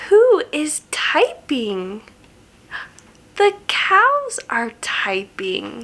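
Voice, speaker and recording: Using a put-on character voice with a warm tone, the speaker goes at a very slow pace with long, frequent pauses. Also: woman, high pitch for a woman. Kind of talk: bedtime story. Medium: read story. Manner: warm, slow, questioning.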